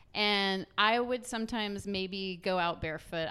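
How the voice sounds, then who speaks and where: With noticeable background noise behind her, a woman with an American accent talks at a medium pitch with ordinary pitch variation. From US South. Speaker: musician. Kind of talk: casual chat.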